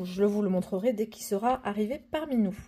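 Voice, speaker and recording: A woman speaks in a fairly high pitch with a dark, mellow tone and ordinary pitch variation. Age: 30s. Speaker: personal finance vlogger. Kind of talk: casual vlog. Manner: hesitant, many fillers (euh).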